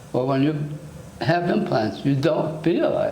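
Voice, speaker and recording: A man speaks with an American accent in a room with audible echo. Noticeable background noise runs underneath. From United States. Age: 60s. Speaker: dental patient. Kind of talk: testimonial interview. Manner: halting, with repetitions.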